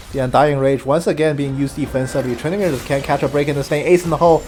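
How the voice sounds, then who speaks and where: Over background music, a man speaks quietly and very fast in a fairly high voice. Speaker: game commentator. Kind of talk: live commentary. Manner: quieter, taking it easy.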